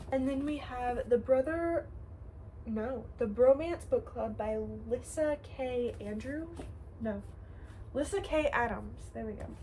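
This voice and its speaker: A woman speaking at a fairly slow pace amid noticeable background noise. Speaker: book vlogger. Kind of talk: casual vlog, listing books.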